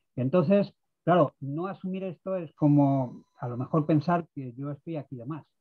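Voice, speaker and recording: A man's somewhat breathy, fairly high voice shows ordinary pitch variation and big swings in loudness. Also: moderate pace. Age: 60s. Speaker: participant in pensioner activist meeting. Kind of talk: video conference discussion. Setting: video call.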